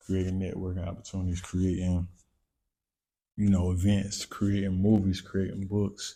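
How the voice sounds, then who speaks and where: Dark and mellow in tone, the voice keeps a monotone, flat intonation. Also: man, very clean recording, silent background. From North Carolina. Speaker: entrepreneur and content creator. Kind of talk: casual interview chat.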